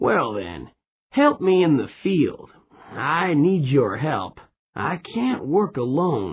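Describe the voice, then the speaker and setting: A man's put-on character voice, fairly high in pitch, very slow, with very wide pitch swings. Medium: read story.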